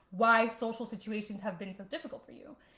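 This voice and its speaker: A woman speaks fairly quickly in a fairly high register. Her tone is animated. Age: 30s. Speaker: online fitness coach and vlogger. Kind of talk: casual livestream talk. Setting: home livestream.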